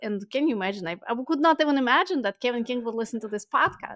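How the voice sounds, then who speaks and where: A woman speaks at a fairly quick pace with lively intonation. The sound is dry and close with no echo, on a very clean recording with a silent background. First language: not English. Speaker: ecommerce agency founder. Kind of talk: podcast interview. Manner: halting, frequent fillers.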